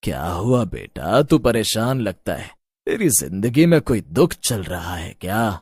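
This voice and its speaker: In a put-on character voice at medium pitch, a man speaks at a fairly slow pace with very wide pitch swings and big swings in loudness, the sound dry and close with no echo in a very clean recording with a silent background. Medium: audio drama. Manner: calm, fatherly.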